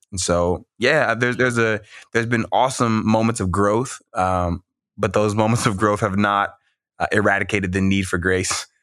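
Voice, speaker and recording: A man with an American accent has a normal speaking voice, fairly low in pitch with fairly even intonation and a moderate pace, on a very clean recording with a silent background. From US South, Mississippi. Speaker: minister and poet. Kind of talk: interview conversation.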